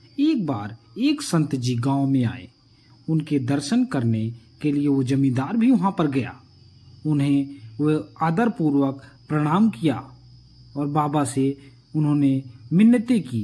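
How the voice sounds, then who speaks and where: With a dark, mellow tone and some breathiness, a man speaks at a fairly high pitch with lively intonation and long, frequent pauses. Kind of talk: moral story narration.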